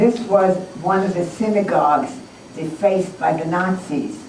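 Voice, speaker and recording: A woman talks at a medium pitch with lively intonation. Noticeable background noise is audible. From Germany. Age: 70s. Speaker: Holocaust survivor. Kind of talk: talk to school students.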